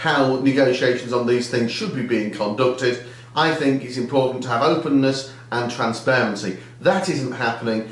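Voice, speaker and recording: Audible room echo surrounds a man talking at a moderate pace with ordinary pitch variation. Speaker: politician. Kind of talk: video diary commentary. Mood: critical, earnest.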